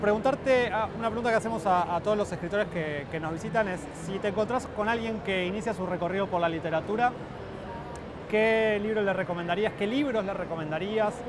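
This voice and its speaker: The speech moves at a fairly quick pace with ordinary pitch variation. Noticeable background noise and audible room echo fill the recording. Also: man, high pitch for a man. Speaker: interviewer, cultural program head. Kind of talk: interview. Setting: book fair stand.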